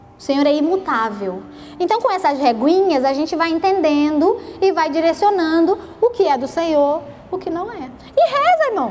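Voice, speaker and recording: An animated voice with a Rio de Janeiro accent and lively intonation moves at a moderate pace, with audible room echo and noticeable background noise. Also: woman, extremely high pitch for a woman. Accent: carioca (Rio). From Brazil, Rio de Janeiro state (Petrópolis). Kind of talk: sermon. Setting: church prayer group with audience. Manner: animated, conversational.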